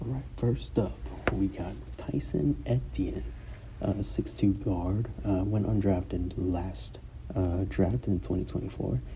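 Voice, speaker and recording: A man's very deep, low voice with very wide pitch swings, a very slow pace and audible room echo. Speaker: sports commentator YouTuber. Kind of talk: casual sports breakdown. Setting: school room during conference period. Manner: hesitant, many fillers.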